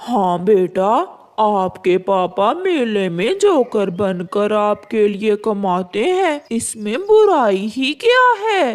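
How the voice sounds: A female-sounding cartoonish character voice with a fairly high pitch moves at a very slow pace with hardly any pauses.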